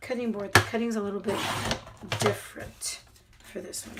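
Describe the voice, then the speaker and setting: Soft-spoken and monotone, a woman talks with flat intonation over noticeable background noise. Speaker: crafter. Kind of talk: tutorial. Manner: subdued.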